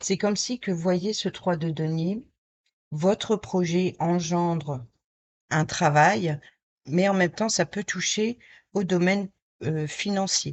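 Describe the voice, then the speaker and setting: Very slow pacing with ordinary pitch variation. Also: woman. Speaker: tarot card reader. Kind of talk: tarot reading. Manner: halting.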